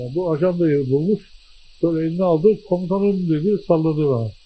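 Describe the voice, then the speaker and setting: A man talks at a moderate pace in a fairly high pitch with a dark, mellow tone. Light background noise sits underneath. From Denizli, Turkey; Turkey. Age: 80s+. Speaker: war veteran. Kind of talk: interview; interview answer. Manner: halting. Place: home room. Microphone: handheld.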